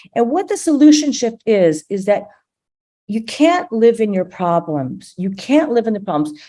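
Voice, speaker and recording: A woman's dark, mellow voice moves through very wide pitch swings. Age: 60s. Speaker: storyteller, medical writer. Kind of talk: personal storytelling talk. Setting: live-streamed video call event. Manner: halting, with frequent repetitions.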